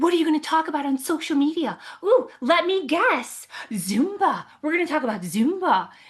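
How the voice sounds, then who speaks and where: Putting on a character voice, a woman speaks at a moderate pace with an extremely high pitch. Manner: mocking; condescending.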